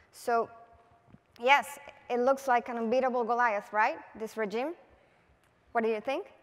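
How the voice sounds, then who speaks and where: With a Spanish accent, a woman talks at a high pitch and a moderate pace, her intonation fairly even and her pauses long and frequent. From Venezuela. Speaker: political advertising creative; conference speaker. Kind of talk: conference talk. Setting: stage with audience. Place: stage. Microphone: headset.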